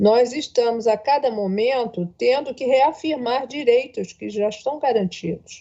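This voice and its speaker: Ordinary pitch variation marks this voice, which moves at a fairly slow pace. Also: woman, high pitch for a woman. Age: 60s. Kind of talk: panel speech.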